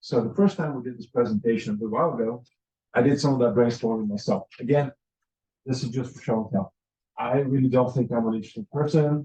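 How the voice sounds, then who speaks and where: Rushing at a very fast pace, a man with a dark, mellow, somewhat breathy voice at medium pitch speaks with big swings in loudness. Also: ordinary pitch variation. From Bulgaria. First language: Bulgarian. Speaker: study abroad advisor. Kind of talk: workshop presentation. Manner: casual, with frequent fillers.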